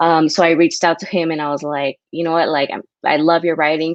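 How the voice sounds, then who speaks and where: With an American accent, a woman speaks in a very deep, low pitch and a monotone, flat intonation, the sound dry and close with no echo. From US, San Diego. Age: 20s. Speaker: writer. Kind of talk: casual interview chat. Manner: casual, many fillers.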